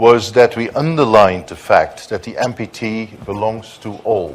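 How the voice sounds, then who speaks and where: A man's voice, with ordinary pitch variation, is heard through noticeable background noise. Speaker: diplomat, conference panelist. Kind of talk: conference panel speech. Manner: hesitant, many fillers.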